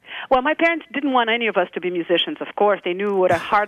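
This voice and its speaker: A woman with a Brazilian accent speaks at a fairly high pitch. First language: Brazilian Portuguese. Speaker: jazz singer. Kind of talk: interview.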